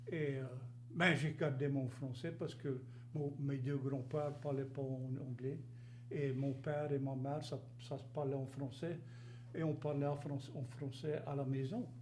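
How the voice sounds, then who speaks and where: Somewhat breathy, a man speaks at a fairly high pitch in a monotone, flat intonation at a fairly slow pace with long, frequent pauses, and audible room echo. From Louisiana, rural Cajun area near Gueydan. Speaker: interview guest. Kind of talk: casual interview.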